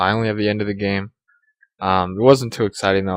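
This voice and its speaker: This man's fairly low voice, delivered with fairly even intonation, has a dry, close sound with no echo. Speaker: gaming commentator. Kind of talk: casual gameplay commentary. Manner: monotone.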